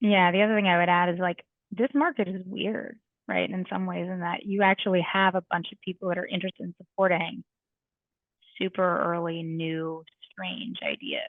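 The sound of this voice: A woman's fairly low voice at a moderate pace, fairly even in intonation, in a dry, close sound with no echo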